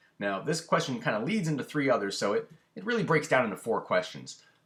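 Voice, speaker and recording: Very wide pitch swings and vocal fry in a man's speech. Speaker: home brewing instructor. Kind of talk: instructional talk to camera. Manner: hesitant, stammering.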